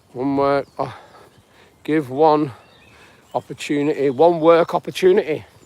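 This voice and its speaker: Using a British accent, a man speaks fairly slowly at a fairly high pitch, with fairly even intonation and long, frequent pauses. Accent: UK. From northwest England. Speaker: self-help vlogger. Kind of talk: live stream chat. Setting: outdoors. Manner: halting.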